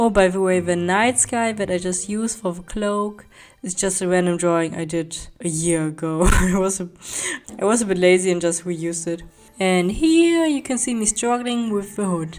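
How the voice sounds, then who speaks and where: Background music beneath a woman's voice at medium pitch. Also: ordinary pitch variation, moderate pace. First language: not English (English is third language). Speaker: artist, art channel creator. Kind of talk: voice-over narration of speedpaint tutorial.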